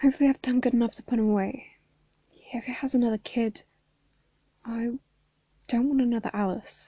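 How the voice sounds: Using a put-on character voice, a woman talks high in pitch, mumbling in a monotone, flat delivery at a fairly quick pace. Long, frequent pauses break it up, and the sound is dry and close with no echo.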